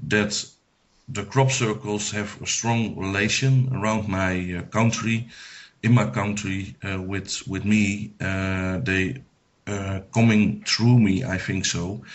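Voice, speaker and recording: A man speaks at a very slow pace in a fairly low pitch. His intonation stays fairly even. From Netherlands. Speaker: psychic medium. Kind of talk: radio interview. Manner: halting, many hesitations.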